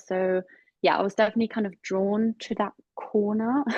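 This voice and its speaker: A woman speaks at a medium pitch. Her intonation is monotone and flat. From Germany, Hamburg. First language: German. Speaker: digital PR executive. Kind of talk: casual interview.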